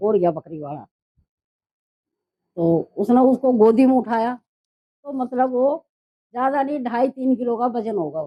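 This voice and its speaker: A woman speaks at a high pitch in a dark, mellow tone with lively intonation and big swings in loudness. The sound is dry and close, with no echo. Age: 70s. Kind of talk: interview answer.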